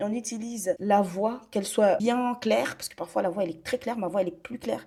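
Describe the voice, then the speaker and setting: At a fairly quick pace, a woman speaks in a dark, mellow, somewhat breathy tone of medium pitch with ordinary pitch variation. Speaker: online business content creator. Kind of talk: tutorial.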